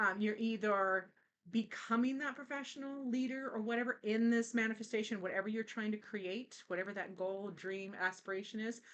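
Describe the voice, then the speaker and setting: With fairly even intonation, a woman talks at a fairly quick pace in a fairly high pitch. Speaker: tarot reader. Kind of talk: tarot reading. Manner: halting, many fillers.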